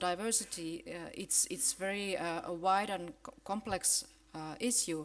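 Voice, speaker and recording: Fairly slow speech with a Finnish accent and ordinary pitch variation. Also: woman. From Finland. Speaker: professor of education. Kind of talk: conference keynote. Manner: halting, many fillers and restarts.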